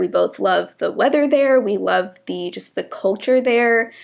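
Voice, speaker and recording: A woman speaks at a moderate pace in a fairly high pitch, with vocal fry. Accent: American. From US South, metro Atlanta. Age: 20s. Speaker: beauty YouTuber. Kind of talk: casual chat while doing makeup. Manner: chatty, filler-heavy.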